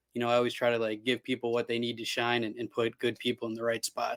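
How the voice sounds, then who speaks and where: Sounding dry and close with no echo, a man with an American accent talks at a very fast pace and a medium pitch. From Cleveland, Ohio, US. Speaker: television producer. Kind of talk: casual chat. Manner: loud.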